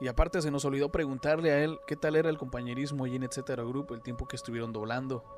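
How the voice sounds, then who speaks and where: Over music in the background, a man with a fairly high pitch talks at a very fast pace with fairly even intonation and hardly any pauses. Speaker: radio announcer. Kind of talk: podcast interview host.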